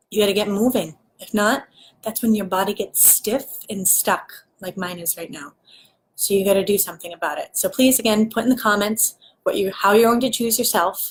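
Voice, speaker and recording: A woman speaks at a fairly quick pace in a medium pitch, her voice somewhat breathy. The pitch varies in an ordinary way, and the recording is very clean with a silent background. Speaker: spiritual life coach. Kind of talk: live stream rant. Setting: live video stream. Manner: animated.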